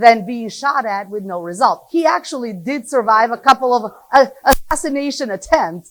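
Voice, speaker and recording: This woman has a high pitch and lively intonation, talking at a moderate pace. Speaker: economist. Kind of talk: lecture. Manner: loud.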